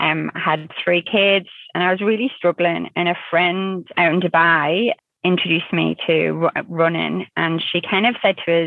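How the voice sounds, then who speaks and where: A woman speaks at a moderate pace with a northern English accent and fairly low pitch. Her intonation is fairly even and her loudness very even. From northern England. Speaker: working mother and amateur rugby player. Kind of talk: interview, casual chat.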